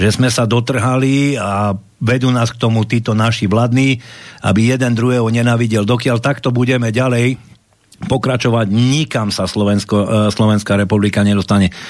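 A man of medium pitch at a moderate pace, fairly even intonation, noticeable background noise behind him. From Košice, eastern Slovakia. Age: 50s. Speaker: security manager, political movement member. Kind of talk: political talk show discussion.

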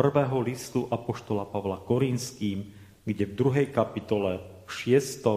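The voice has a dark, mellow tone, somewhat breathy, moving at a fairly slow pace with ordinary pitch variation. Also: man. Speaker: Lutheran pastor. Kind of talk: sermon. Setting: church.

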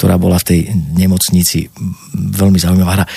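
A man's moderate pace carries over noticeable background noise. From Slovakia, Banská Bystrica. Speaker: actor. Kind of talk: interview.

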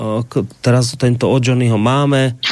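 Fairly level in intonation and medium in pitch, a man talks in an unremarkable speaking voice. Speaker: radio host. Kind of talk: talk radio, reading listener mail.

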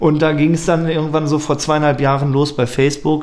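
Audible room echo on a man's fairly quick speech. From Germany, Lippstadt (Westphalia). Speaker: techno DJ and party promoter. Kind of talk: casual interview.

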